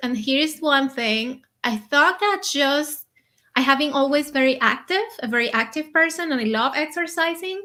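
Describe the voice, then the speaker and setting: A woman with a non-native accent projects a raised, high-pitched voice with a bright, sharp tone and lively intonation. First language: not English. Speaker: conscious eating coach. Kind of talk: interview.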